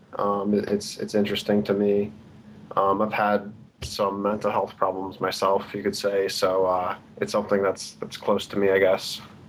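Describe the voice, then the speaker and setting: A man speaks in a monotone, flat delivery at a fairly low pitch and moderate pace. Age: young. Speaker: caller, psychology student. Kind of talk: call-in conversation.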